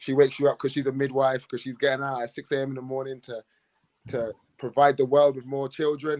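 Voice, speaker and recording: A man races along at a very fast pace in a monotone, flat delivery, with big swings in loudness. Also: medium pitch for a man. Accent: London. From London, England. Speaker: professional basketball player. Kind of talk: panel chat.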